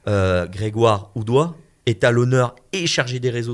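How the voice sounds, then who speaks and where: His pitch varies in an ordinary way. The background is silent and the recording is very clean. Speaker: web talk show co-creator and host. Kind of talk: radio interview. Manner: animated.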